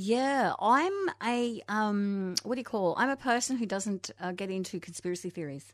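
Against a quiet background, a woman speaks in an Australian accent at a moderate pace. Her pitch is medium, with ordinary variation. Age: 50s. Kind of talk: casual interview. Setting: radio studio. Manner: animated.

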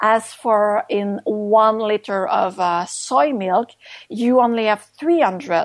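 The speaker talks at a very slow pace in a Quebec accent. The intonation is lively. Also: woman, fairly high pitch for a woman. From Quebec, Canada. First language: French. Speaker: author and activist. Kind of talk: interview.

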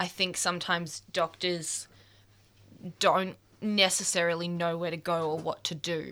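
With an Australian accent, the speaker moves at a moderate pace in a monotone, flat intonation, leaving long, frequent pauses. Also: woman, fairly low pitch for a woman. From Melbourne, Australia. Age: 20s. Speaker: photographer and youth advocate. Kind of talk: radio interview. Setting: radio studio. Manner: halting.

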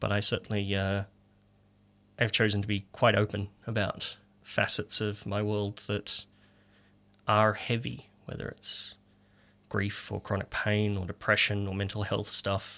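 A man with an Australian accent speaks at a fairly slow pace in a fairly low, bright, sharp voice, his intonation monotone and flat, with long, frequent pauses on a very clean recording over a silent background. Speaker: poet. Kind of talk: casual chat; poetry reading. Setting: radio studio.

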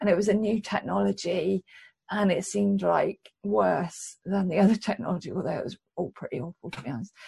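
This is a woman's voice at medium pitch. It carries vocal fry. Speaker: academic researcher. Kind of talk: interview.

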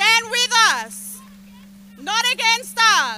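Over noticeable background noise, a woman uses a raised, projected voice with very wide pitch swings. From Australia (Victoria). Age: young. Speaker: community volunteer. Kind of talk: rally speech. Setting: outdoor protest rally.

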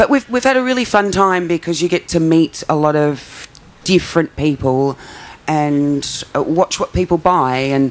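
At a moderate pace, a woman talks in a low register. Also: ordinary pitch variation.

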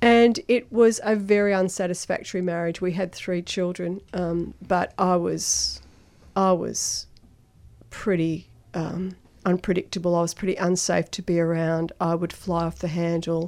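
A woman with an Australian accent speaks at a fairly slow pace. Her pitch is fairly low and her intonation fairly even. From Melbourne, Australia, Italian migrant family. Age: 60s. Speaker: Al-Anon member sharing recovery. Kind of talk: personal testimony in radio interview. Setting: radio studio.

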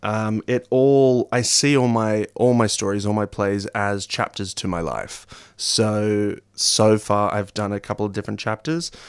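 A man speaks in an Australian accent at a fairly low pitch, with ordinary pitch variation. His pace is fairly slow, with hardly any pauses. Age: 20s. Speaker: actor and playwright. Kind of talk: radio interview.

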